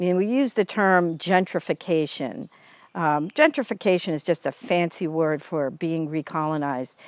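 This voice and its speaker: An American woman speaks with lively intonation at a moderate pace and a fairly low pitch, with an American accent. The sound is dry and close with no echo, against a quiet background. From US Northeast, Cape Cod, Massachusetts. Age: 60s. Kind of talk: interview.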